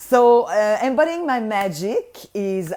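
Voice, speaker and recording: A woman speaks with a slight French Canadian accent. Her pitch swings very widely. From Quebec, Montreal. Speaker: voice healer and business mentor. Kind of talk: live online workshop talk. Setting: livestream. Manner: animated.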